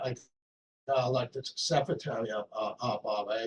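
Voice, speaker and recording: A man is talking. There is some breathiness in his voice. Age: 80s+. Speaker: community association board member. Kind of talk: meeting self-introduction. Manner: halting, many repeated words.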